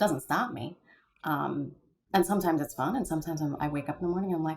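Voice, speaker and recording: Speaking at a very fast pace, a woman uses a very deep, low pitch with vocal fry and ordinary pitch variation. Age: 40s. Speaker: sports public address announcer and former TV news journalist. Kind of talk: interview answer. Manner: conversational, reflective.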